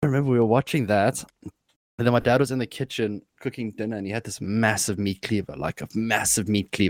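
A normal speaking voice from a man, at a fairly quick pace with hardly any pauses, ordinary pitch variation and a dry, close sound with no echo. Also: medium pitch for a man. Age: 20s. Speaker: streamer. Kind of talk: casual chat.

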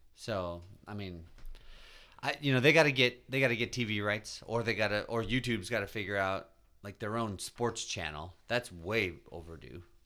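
With a bright, sharp tone and a fairly low pitch, a man speaks at a moderate pace on a very clean recording with a silent background. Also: ordinary pitch variation. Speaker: podcast host. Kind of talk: casual chat.

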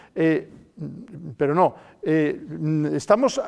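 A man with a dark, mellow tone and a fairly high pitch speaks at a very slow pace, his pitch swinging very widely. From Spain, El Bierzo (León). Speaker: journalist and debate moderator. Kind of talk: panel debate. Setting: theatre stage with audience. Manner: halting, many repetitions and fillers.

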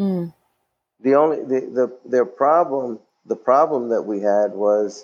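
A man's medium-pitched voice with lively intonation at a fairly slow pace. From New York, Puerto Rican family. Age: 50s. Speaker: social worker and firefighter. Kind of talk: interview, personal life story. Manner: halting, many fillers.

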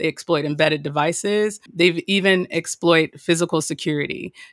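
Recorded dry and close with no echo, a woman with fairly low pitch and ordinary pitch variation has an ordinary speaking voice. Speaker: cyber risk director. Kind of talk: interview explaining OT security.

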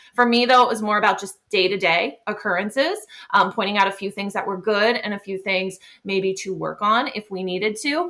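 Female speech at medium pitch, fairly quick in pace, with ordinary rises and falls. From Pennsylvania. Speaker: special education teacher. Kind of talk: podcast interview.

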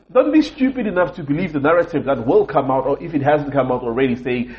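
A somewhat breathy man speaks with lively intonation. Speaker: podcast host. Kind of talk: angry rant about racism, passionate monologue. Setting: recording in a hotel room while travelling. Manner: angry, frustrated, emphatic, repeating for emphasis; disappointed, sincere, impassioned.

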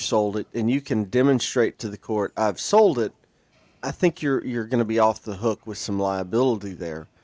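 A man with a Southern US accent speaks at a fairly quick pace and medium pitch, with a dry, close sound and no echo. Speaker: lawyer. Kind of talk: casual chat.

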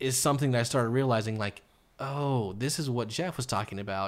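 On a very clean recording with a silent background, a man in an unremarkable speaking voice talks at a moderate pace with ordinary pitch variation. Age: 30s. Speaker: podcast host and photographer. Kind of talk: casual chat interview.

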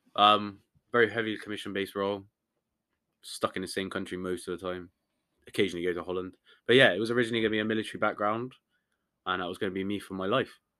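In a very clean recording with a silent background, a man with a British accent talks at a very fast pace with long, frequent pauses, fairly low pitch, fairly even intonation and a bright, sharp tone. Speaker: podcast co-host. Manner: casual, laid-back.

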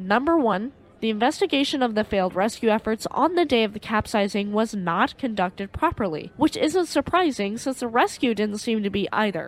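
A woman with an ordinary speaking voice talks at a fairly quick pace in a fairly high pitch, with lively intonation and hardly any pauses. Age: 20s. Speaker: history podcast host. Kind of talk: scripted narration.

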